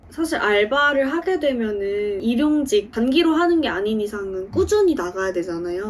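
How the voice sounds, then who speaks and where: A woman's lively intonation at a moderate pace, against noticeable background noise. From Daegu, South Korea. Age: 20s. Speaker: aspiring actor. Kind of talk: interview answer.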